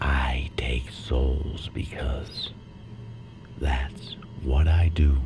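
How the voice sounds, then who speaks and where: A man uses a put-on character voice. He talks at a very slow pace. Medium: audio drama. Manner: calm, solemn.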